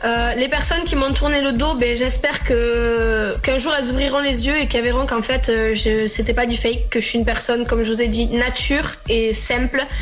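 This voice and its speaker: Talking at a fairly quick pace with hardly any pauses, a woman with a southern French accent keeps her loudness very even while room echo and noticeable background noise can be heard. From southwestern France, Agen. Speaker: interviewed public personality. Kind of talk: radio interview. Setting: Skype call to radio show.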